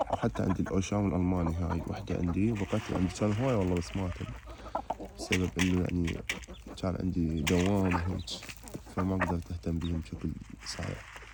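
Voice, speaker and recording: Over noticeable background noise, a man with a very deep, low pitch and ordinary pitch variation talks at a fairly quick pace. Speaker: chicken keeper vlogger. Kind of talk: casual vlog tutorial. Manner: casual, with fillers.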